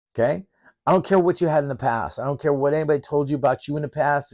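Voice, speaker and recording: A very fast-talking man with a fairly high pitch. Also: dry, close sound with no echo, very clean recording, silent background. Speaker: professor. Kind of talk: lecture. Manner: emphatic; animated.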